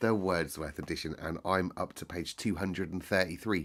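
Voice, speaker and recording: A man with an English accent and a very deep, low pitch speaks at a fairly slow pace with lively intonation. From United Kingdom. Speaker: teacher. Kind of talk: casual talk to listeners. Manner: calm, soothing.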